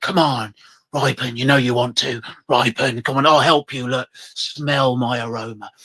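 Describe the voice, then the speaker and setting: A man uses a put-on character voice. It sits at a medium pitch and sounds raspy. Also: moderate pace. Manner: persuasive, sly.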